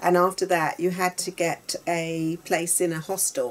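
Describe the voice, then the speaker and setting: The speaker has a London accent. Intonation stays fairly even. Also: woman. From South London (Battersea), England. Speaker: interviewee sharing life story. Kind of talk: personal testimony in conversation. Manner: halting, with many fillers.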